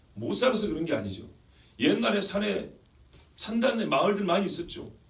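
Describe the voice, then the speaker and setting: A man talks at a fairly quick pace with very wide pitch swings, noticeable background noise around him. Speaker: pastor giving a sermon. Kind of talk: sermon preached to a congregation.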